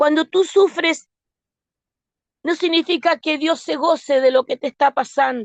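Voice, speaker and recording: A woman with a slight Argentine accent at a fairly slow pace, the sound dry and close with no echo. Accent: slight Argentine lilt. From Argentina (born in Osorno, Chile). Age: 60s. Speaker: lay preacher. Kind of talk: sermon.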